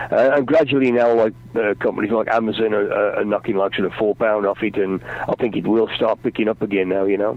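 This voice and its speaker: A man with a fairly low pitch talks at a very fast pace with hardly any pauses, very even loudness, and fairly even intonation. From English Midlands. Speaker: rock singer and author. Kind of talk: radio interview. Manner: halting.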